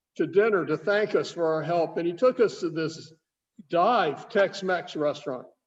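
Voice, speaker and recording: With a Southern accent and a high pitch, a man speaks at a fairly slow pace. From US South, Nashville, Tennessee. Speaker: wine shop owner hosting tasting. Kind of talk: casual chat.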